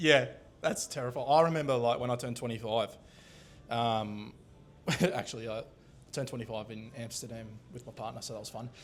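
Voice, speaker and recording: Talking at a fairly quick pace with long, frequent pauses, a man with an Australian accent keeps a medium pitch and fairly even intonation while his loudness swings widely. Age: 20s. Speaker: podcast host. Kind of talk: casual chat. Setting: recorded at a hotel venue.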